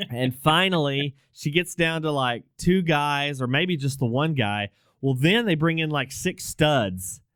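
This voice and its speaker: A man with an American accent has an ordinary speaking voice, fairly high in pitch. He talks at a fairly slow pace with lively intonation. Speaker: podcast host. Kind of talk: casual chat.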